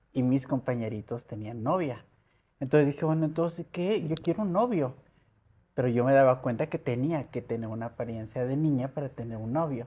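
Speaking with a Mexico City accent, the woman has a very deep, low pitch and a dark, mellow tone. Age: 60s. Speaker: model and media personality; interview guest. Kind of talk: interview. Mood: personal life story, earnest. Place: home room. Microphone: lapel.

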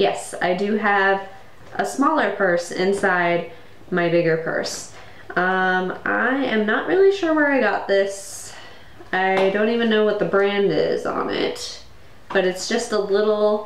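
A woman at a very slow pace over noticeable background noise. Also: ordinary pitch variation, very even loudness. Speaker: vlogger. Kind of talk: casual vlog chat. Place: home room. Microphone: webcam.

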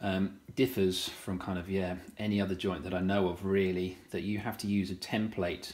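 A man's very deep, low voice at a moderate pace, with monotone, flat intonation. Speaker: woodworking tutor. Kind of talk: tutorial. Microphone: phone near.

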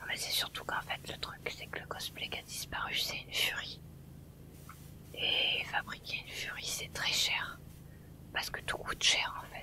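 A relaxed whisper at a fairly slow pace, broken by long, frequent pauses. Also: woman. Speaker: ASMR streamer and gamer. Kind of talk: ASMR whispered gameplay commentary, live stream excerpt. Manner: soft, whispered, relaxed.

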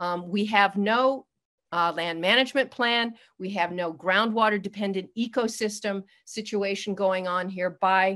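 In a quiet background, a woman speaks in a bright, sharp tone with fairly even intonation. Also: fairly slow pace. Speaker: public commenter. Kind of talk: public comment. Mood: critical, advocacy. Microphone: video call.

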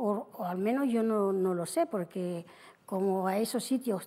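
Ordinary pitch variation runs through a voice of dark, mellow tone. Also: woman. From Spain, Extremadura (Cáceres); Extremadura, Spain. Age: 70s. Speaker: widow, TV show guest; guest. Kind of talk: interview storytelling. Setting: TV studio with audience. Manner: halting. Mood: calm, somewhat somber. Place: studio. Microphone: lapel.

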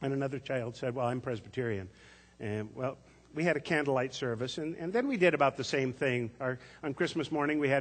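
Pitch varies in an ordinary way while the text is read aloud in a natural voice.

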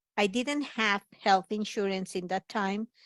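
A woman speaks at medium pitch and a fairly slow pace, with fairly even intonation, in a normal speaking voice. The recording is very clean, dry and close, with a silent background and no echo. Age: 60s. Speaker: personal support worker. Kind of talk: testimony. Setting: pre-recorded video message.

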